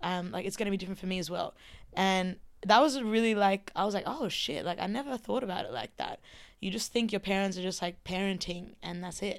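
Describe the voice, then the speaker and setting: On a very clean recording with a silent background, a woman with an Australian accent talks at a very fast pace with medium pitch and ordinary pitch variation. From rural Queensland, Australia. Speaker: DJ and artist. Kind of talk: casual chat.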